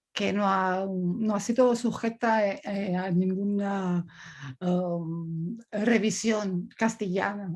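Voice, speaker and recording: This very clean recording has a silent background. Someone with an Italian accent speaks at a very slow pace with fairly even intonation. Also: woman. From Italy. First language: Italian (speaking Spanish). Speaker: coach. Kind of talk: talk. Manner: halting.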